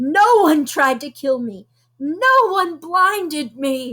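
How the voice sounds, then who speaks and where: A woman bellows in a put-on character voice, high-pitched, at a very slow pace. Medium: read story. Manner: bellowing, cruel.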